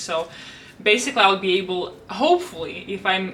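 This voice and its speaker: Speaking in a medium pitch, a woman is heard through noticeable background noise. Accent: Russian. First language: Russian. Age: 20s. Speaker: planner YouTuber and language tutor. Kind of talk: casual planner flip-through vlog.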